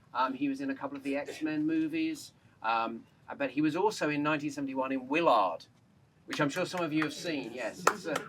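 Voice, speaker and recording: A man with a fairly high voice talks at a fairly quick pace, his pitch rising and falling in an ordinary way. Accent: English. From England. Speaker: journalist. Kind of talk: public speech at memorial dedication. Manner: raised voice, talking without microphone.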